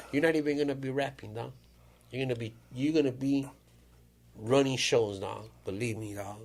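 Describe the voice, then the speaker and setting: At a moderate pace, a man with a medium-pitched voice and ordinary pitch variation speaks, taking long, frequent pauses. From Mexico (Jalisco), raised in California. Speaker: podcast host. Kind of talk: casual chat. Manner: animated.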